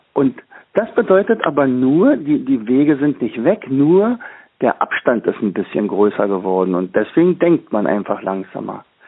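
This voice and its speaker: A man with a fairly high pitch talks at a moderate pace, his voice making very wide pitch swings. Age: 60s. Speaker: teacher and learning trainer. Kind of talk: interview. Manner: halting, many fillers.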